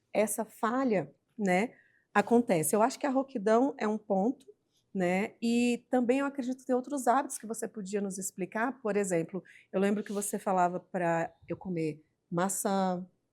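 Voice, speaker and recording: A woman with an ordinary speaking voice talks at a moderate pace and a fairly high pitch, with ordinary pitch variation. Her loudness goes through big swings. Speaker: podcast host. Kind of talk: interview.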